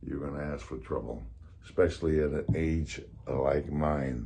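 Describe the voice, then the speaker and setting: A somewhat breathy man's voice with a dark, mellow tone and a fairly slow pace. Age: 80s+. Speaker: fitness vlogger. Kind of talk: tutorial. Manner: casual.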